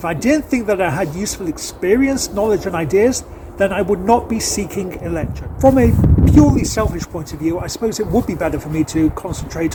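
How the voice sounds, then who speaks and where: A man with a Manchester accent, high in pitch with very wide pitch swings, at a fairly quick pace over noticeable background noise. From northern England, Manchester. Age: 50s. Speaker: accountant and election candidate. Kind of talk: campaign video address.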